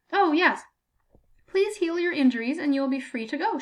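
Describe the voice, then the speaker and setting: A woman puts on a squeaky character voice. Her pitch is high. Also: fairly quick pace, lively intonation. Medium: read story. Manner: prim, unbothered.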